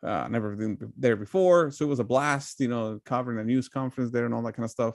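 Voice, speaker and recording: A man rattles along at a very fast pace, with a quiet background. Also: medium pitch for a man, ordinary pitch variation. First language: Spanish. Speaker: political commentator. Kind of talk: casual chat. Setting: live stream.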